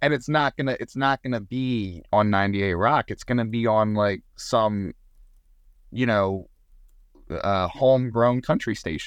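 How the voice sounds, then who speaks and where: A man with an American accent has an ordinary speaking voice at a medium pitch with ordinary pitch variation. He speaks at a fairly slow pace against a quiet background. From Southern Maryland. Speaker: touring musician and sound tech. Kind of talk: casual interview. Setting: on his lunch hour at work.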